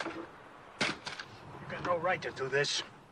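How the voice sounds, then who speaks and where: A man puts on a raspy character voice with a Western US accent at a fairly high pitch. Sound effects and clear background noise play behind him. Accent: rural Western American. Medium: short film. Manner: gruff, blunt, drawling.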